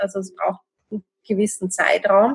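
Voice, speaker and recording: Somewhat breathy and medium-pitched, a woman speaks at a moderate pace with monotone, flat intonation. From Austria, Vienna. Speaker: podcast host, interviewer. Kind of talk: interview.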